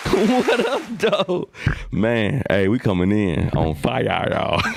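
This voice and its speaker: A man at a very slow pace and very even loudness, with noticeable background noise. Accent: American. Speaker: podcast host. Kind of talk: casual chat. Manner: animated.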